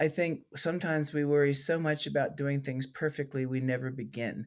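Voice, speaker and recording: The man has an ordinary speaking voice, pitched fairly high, with ordinary pitch variation at a moderate pace. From US, moved through many states. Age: 50s. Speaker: keynote speaker and former art teacher. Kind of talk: casual interview chat.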